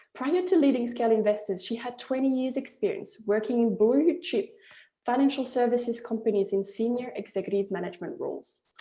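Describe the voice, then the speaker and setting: In a strong French accent, a woman talks at a fairly quick pace. Her voice is fairly high-pitched, with a dark, mellow tone. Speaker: webinar host, investment platform founder. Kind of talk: webinar introduction. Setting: online webinar.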